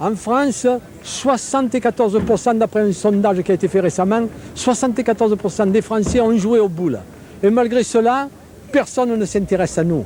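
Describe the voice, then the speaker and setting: Over noticeable background noise, a high-pitched man speaks at a moderate pace with very even loudness and ordinary pitch variation. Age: 60s. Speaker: pétanque official interviewed. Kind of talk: interview. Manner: animated.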